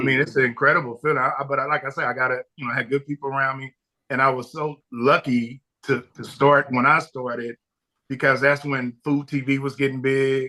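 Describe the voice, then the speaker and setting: A man's medium-pitched voice, bright and sharp in tone, at a fairly quick pace. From Compton, Los Angeles, US. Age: 60s. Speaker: barbecue pitmaster and restaurateur. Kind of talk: podcast interview. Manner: animated storytelling with frequent repetitions.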